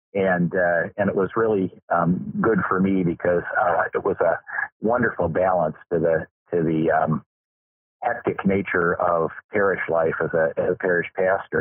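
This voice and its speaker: A man speaks at a moderate pace in a Midwestern American accent. His loudness stays very even. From Michigan, US Midwest. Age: 60s. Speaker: farmer and Lutheran pastor. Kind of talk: interview. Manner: halting, many fillers.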